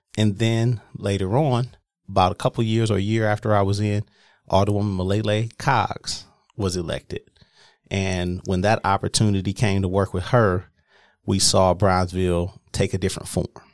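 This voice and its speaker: A man with an American accent and a plain, everyday voice, fairly low pitch and fairly even intonation, in a very clean recording with a silent background and a dry, close sound with no echo. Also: moderate pace. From Milwaukee, Wisconsin. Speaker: former business district director. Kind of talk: interview.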